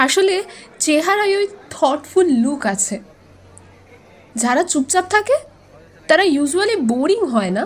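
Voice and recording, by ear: Putting on a character voice, a woman talks slowly at a high pitch with big pitch swings.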